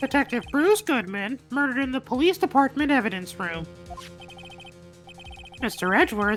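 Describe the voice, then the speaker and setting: Over clear music in the background, a female-sounding put-on character voice pitched high for a woman speaks with long, frequent pauses. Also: moderate pace. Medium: game stream. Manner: smug, condescending.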